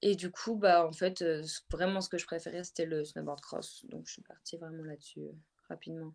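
With a plain, everyday voice, a woman speaks at a moderate pace, her pitch fairly low and her loudness swinging widely. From French Alps, Haute-Savoie. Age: 20s. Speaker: professional snowboarder. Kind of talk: interview.

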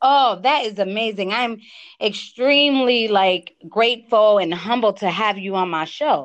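A woman with an American accent speaks at a fairly slow pace, her fairly high voice showing ordinary pitch variation. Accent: East Coast accent, compared to Cardi B. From US East Coast, Connecticut. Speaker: podcast host. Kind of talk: casual interview chat. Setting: remote call. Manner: animated.

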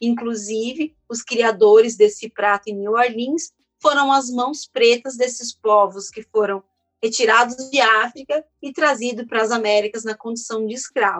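A woman speaks at a fairly slow pace in a fairly high pitch, with a normal speaking voice, fairly even intonation, big swings in loudness, and a dry, close sound with no echo. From São Paulo, Brazil. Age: 30s. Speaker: chef and culinary researcher. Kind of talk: interview.

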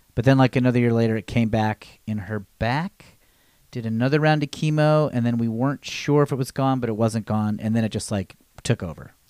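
A man with an ordinary speaking voice at medium pitch, talking at a fairly quick pace with ordinary pitch variation, in a dry, close sound with no echo on a very clean recording with a silent background. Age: 40s. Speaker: podcast guest. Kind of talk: casual chat.

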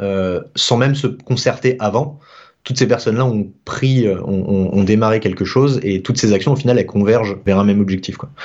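A man talks at a moderate pace. His pitch is medium with ordinary variation. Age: 20s. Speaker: freelance developer. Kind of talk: casual interview. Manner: halting.

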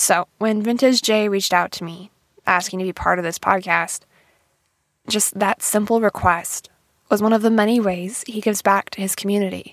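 In an American accent, a woman speaks in an unremarkable speaking voice at a medium pitch and a moderate pace. Her intonation is fairly even, and the sound is dry and close with no echo. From Montana, small town. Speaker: podcast host and singer-songwriter. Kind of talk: interview; scripted narration.

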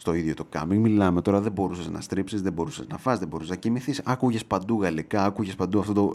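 Over a silent background in a very clean recording, a man speaks very fast and animatedly with hardly any pauses, his fairly low pitch showing ordinary variation. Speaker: podcast host. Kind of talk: casual monologue.

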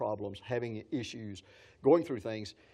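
This man speaks with a West Texas accent. His pace is very fast and his pitch fairly low. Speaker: pastor. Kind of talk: sermon. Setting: church gathering with audience. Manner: animated.

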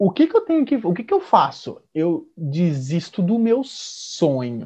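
The speaker is a man. His pitch is high. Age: 20s. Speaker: podcast host. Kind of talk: casual chat.

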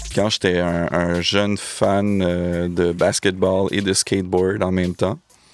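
A man speaks with a very deep, low pitch in monotone, flat intonation. His pace is very slow and his loudness very even. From Montreal, Quebec (East end, Anjou). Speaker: DJ and music producer. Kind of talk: casual chat. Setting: studio.

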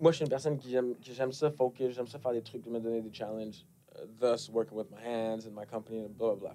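A man's dark, mellow tone at a fairly quick pace, with fairly even intonation and big swings in loudness. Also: medium pitch for a man. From Quebec, Montreal. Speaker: rapper. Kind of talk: casual interview chat. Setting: studio.

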